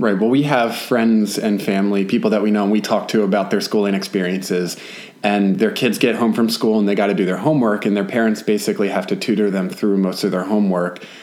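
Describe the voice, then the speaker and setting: Talking at a very fast pace, a man keeps a fairly low pitch, fairly even intonation and very even loudness. Noticeable background noise sits behind him. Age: 30s. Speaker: podcast co-host and homesteader. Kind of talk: casual chat.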